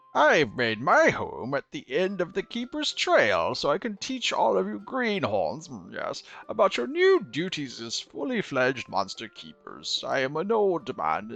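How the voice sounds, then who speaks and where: A man speaks at a moderate pace in a put-on character voice pitched high for a man. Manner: wise, welcoming.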